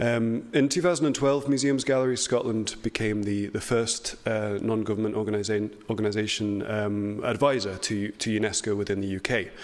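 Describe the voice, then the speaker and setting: Audible room echo carries a man's fairly low voice with ordinary pitch variation. He talks at a moderate pace with hardly any pauses. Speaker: heritage organisation speaker. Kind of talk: conference presentation. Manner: hesitant, many fillers.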